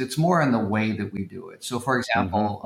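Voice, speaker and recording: A man talks in an ordinary speaking voice. His pitch varies in an ordinary way. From Oklahoma (Tulsa). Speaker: school founder and education investor. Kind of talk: podcast interview.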